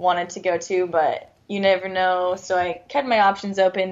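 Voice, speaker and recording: At a moderate pace, a woman with an American accent has a normal speaking voice at a medium pitch. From Southern California and Arizona. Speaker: professional soccer player. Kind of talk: radio interview. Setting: phone call.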